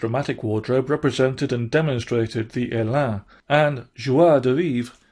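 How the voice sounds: This is a natural reading voice. Its pitch varies an ordinary amount.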